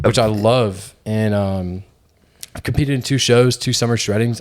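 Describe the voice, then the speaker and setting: An unremarkable speaking voice: a man at a fairly low pitch, fairly quick in pace, with fairly even intonation. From Georgia, US South. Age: 20s. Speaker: fitness content creator and podcast co-host. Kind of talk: casual chat.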